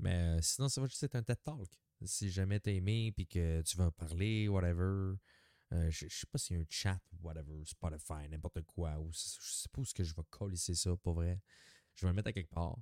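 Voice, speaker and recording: A man talks at a moderate pace with a very deep, low pitch and a dark, mellow tone. The sound is dry and close, without echo. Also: ordinary pitch variation. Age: 30s. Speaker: podcaster. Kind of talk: casual monologue. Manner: halting.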